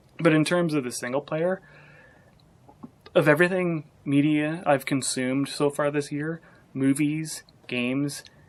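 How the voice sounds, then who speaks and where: A soft-spoken man talks at a fairly slow pace with fairly even intonation. Long pauses come often. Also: fairly high pitch for a man. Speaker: gaming vlogger. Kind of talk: casual vlog review. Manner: quiet, soft-spoken; halting, many restarts.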